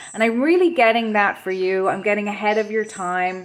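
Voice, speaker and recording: A woman at a moderate pace with a western Irish accent, fairly high in pitch with ordinary pitch variation. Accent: Irish (west of Ireland). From west of Ireland. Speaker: tarot reader. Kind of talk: pick-a-card tarot reading. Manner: hesitant, many fillers and repeats.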